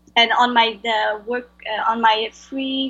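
This woman has a strong French accent and a fairly high pitch. Her intonation stays flat and monotone. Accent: heavy French-accented English. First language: Vietnamese. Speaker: translator. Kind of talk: interview. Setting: video call. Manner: halting.

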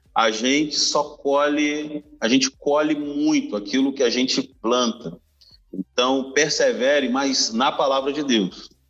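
At a very slow pace, a man speaks with a fairly high pitch, very even loudness and fairly even intonation. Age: 30s. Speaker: pastor. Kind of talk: casual chat.

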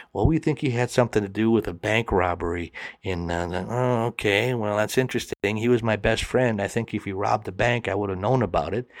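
A man with an American accent and an unremarkable speaking voice talks at a fairly quick pace and fairly low pitch, with ordinary pitch variation, in a very clean recording with a silent background. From US Midwest, Milwaukee, Wisconsin. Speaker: storyteller, comedian. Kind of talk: storytelling interview.

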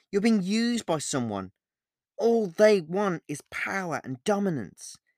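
A man puts on a character voice, pitched high for a man, with big pitch swings at a fairly slow pace. The recording is very clean, with a silent background and a dry, close sound with no echo. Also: slightly mellow tone.

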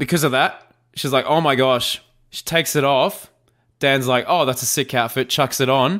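Playful, bright and sharp, an Australian-accented man at a moderate pace with ordinary pitch variation, in a very clean recording with a silent background. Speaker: podcast host and YouTuber. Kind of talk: casual banter chat. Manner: jokey, playful.

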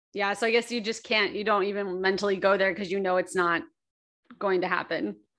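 A woman speaks with an American accent at a fairly quick pace, in an ordinary speaking voice with medium pitch and ordinary pitch variation. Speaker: podcast host. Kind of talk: casual chat.

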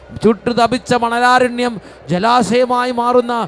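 A man speaks with an extremely high pitch. Noticeable background noise sits behind him. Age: old. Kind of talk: sermon; charismatic prayer. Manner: fervent, loud praise; repetitive exclamations.

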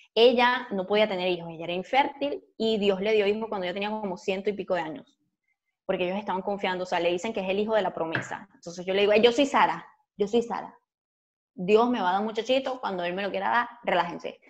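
Here a woman speaks at a medium pitch. Her pace is very fast. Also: ordinary pitch variation. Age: 30s. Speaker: podcast co-host and YouTuber. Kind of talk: casual chat.

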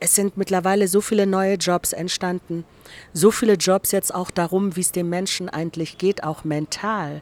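A woman speaks at a moderate pace in an ordinary speaking voice, her pitch medium. Her intonation stays fairly even, and the sound is dry and close with no echo. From East Germany (GDR). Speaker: director of a democracy institute. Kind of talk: casual interview. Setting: restaurant garden.

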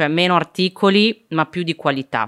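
The sound of a woman speaking is dry and close, without any echo. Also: very clean recording, silent background. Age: 20s. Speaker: startup founder and political communicator. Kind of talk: casual chat.

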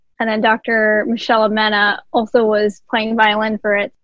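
This woman has an unremarkable speaking voice with an American accent. She talks fairly slowly at a fairly high pitch with fairly even intonation. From New Jersey, Jersey City. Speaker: veterinarian and musician. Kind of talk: podcast interview.

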